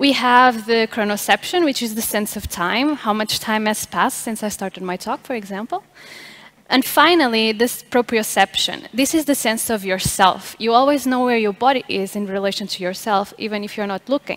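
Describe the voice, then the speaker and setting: The speaker is a woman with ordinary pitch variation. She keeps a moderate pace. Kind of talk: lecture. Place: stage. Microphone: headset.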